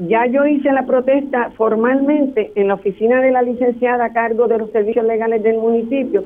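Hardly any pauses break up the speech. It runs at a fairly quick pace. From Puerto Rico. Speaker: caller, community activist. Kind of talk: radio call-in complaint. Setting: phone call.

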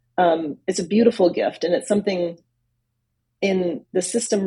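An American woman speaks at a moderate pace with a medium pitch. Her voice is somewhat breathy, with a dark, mellow tone. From US Northeast. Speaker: bilingual speech pathologist. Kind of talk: interview.

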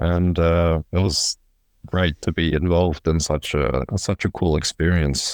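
With an Australian accent, a man speaks at a very deep, low pitch and a fairly slow pace, with fairly even intonation and very even loudness, in a dry, close sound with no echo. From Australia, Sydney. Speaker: professional handball player. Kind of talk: casual interview.

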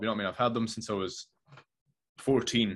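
The speaker uses a Scottish accent with fairly even intonation. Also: man, very clean recording, silent background. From Scotland. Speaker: filmmaker. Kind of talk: casual chat. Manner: halting.

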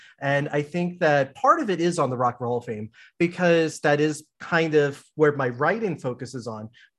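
Over a quiet background, a man with an unremarkable speaking voice talks at a moderate pace, his pitch fairly high and ordinarily varied. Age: 30s. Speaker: librarian and podcast host. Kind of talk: casual chat. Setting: video call.

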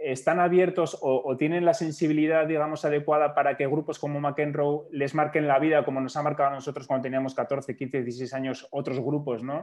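A man with a fairly high pitch at a fairly quick pace. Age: 40s. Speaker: podcast host. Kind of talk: casual chat.

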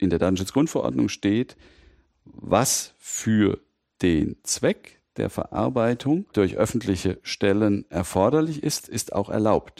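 Vocal fry and very wide pitch swings come through on a very clean recording with a silent background and a dry, close sound with no echo. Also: man. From Mainz, Rheinhessen. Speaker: lawyer, data protection expert. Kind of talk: interview, expert explanation.

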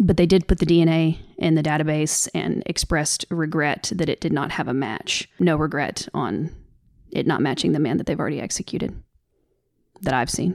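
Over a silent background in a very clean recording, a woman talks at a moderate pace with vocal fry, a very deep, low pitch and ordinary pitch variation. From US South. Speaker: podcast host. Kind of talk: casual podcast update, upset and earnest. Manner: emotional, upset.

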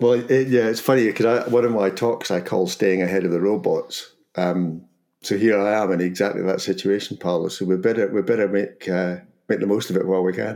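Speaking at a fairly quick pace with a Scottish accent, a man has a dark, mellow tone and fairly even intonation. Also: fairly low pitch for a man. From Scotland. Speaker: podcast host. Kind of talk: casual conversation podcast. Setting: near London.

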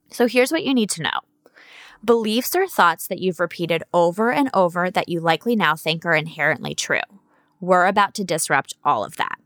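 A woman talks at a fairly quick pace in a plain, everyday voice. The sound is dry and close, with no echo. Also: medium pitch for a woman, lively intonation. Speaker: podcast host and coach. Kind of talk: scripted-style solo podcast talk reading own essay.

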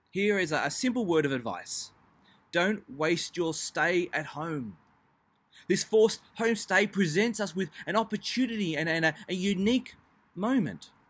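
A high-pitched man with an Australian accent and lively intonation. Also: moderate pace. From Melbourne, Australia. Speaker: pastor. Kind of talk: devotional talk.

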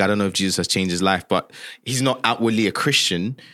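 A man with a fairly low voice speaks at a very fast pace in a very clean recording with a silent background. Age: 20s. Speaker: gospel musician. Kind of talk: interview conversation.

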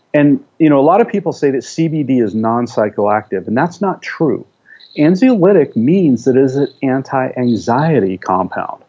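A man speaks at a fairly high pitch, with very wide pitch swings. His pace is moderate. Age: 50s. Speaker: research biochemist. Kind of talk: interview.

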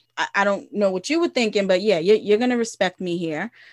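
The recording is very clean and the background silent. A woman talks at a medium pitch, varying it in an ordinary way. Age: 30s. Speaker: therapist, podcast co-host. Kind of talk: casual chat. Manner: halting, many repeated words.

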